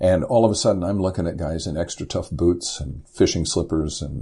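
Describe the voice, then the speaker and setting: Speaking with an American accent at a moderate pace, a man has a very deep, low pitch, a dark, mellow tone, somewhat breathy quality and ordinary pitch variation. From US Midwest (Indiana). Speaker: poet and former commercial fisherman. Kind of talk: interview conversation. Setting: podcast interview.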